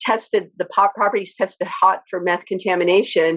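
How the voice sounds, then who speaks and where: Her voice, a woman's, sits at a medium pitch. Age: 60s. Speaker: activist and homeowner. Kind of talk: interview. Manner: halting, many fillers.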